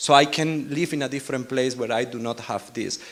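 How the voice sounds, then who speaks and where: This man speaks with a strong Spanish accent at a fairly quick pace. His pitch is fairly high and his intonation fairly even. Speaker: R&D team lead, panelist. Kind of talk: panel discussion.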